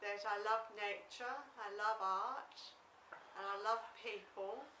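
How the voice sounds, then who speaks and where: A woman's fairly high, monotone voice at a very slow pace, flat in intonation, with audible room echo and noticeable background noise. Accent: Australian. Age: 60s. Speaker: former psychiatric patient. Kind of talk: interview.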